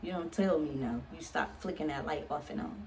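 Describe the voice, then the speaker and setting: A woman's animated tone and lively intonation at a moderate pace, with audible room echo. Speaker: vlogger and author. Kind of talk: casual vlog.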